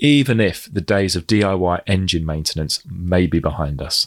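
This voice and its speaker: With a British accent and lively intonation, a man speaks at a very deep, low pitch in a dry, close sound with no echo on a very clean recording with a silent background. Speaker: trade magazine editor and podcast host. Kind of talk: podcast hosting and interviewing.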